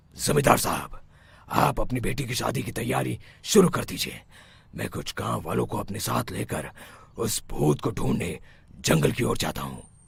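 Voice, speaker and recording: In a cartoonish character voice, a man speaks at a moderate pace with a very deep, low pitch that swings very widely. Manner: authoritative.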